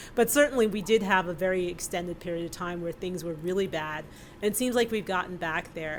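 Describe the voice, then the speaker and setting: A woman's medium-pitched voice with an American accent and ordinary pitch variation, an ordinary speaking voice. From New York City, Brooklyn. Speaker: economist. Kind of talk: panel discussion answer.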